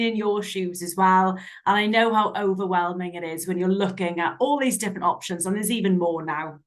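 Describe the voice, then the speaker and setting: Medium-pitched woman's voice with a Welsh accent. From Southwest Wales. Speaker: software sales representative. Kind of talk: product demo.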